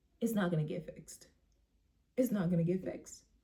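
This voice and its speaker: Somewhat breathy, a woman's dark, mellow tone carries lively intonation. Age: 20s. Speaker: vlogger. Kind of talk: casual monologue. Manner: pleading.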